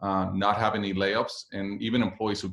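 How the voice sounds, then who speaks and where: With a Spanish accent, a man speaks at a fairly low pitch. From Puerto Rico. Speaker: business executive. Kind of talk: guest talk to a class. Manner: hesitant with fillers.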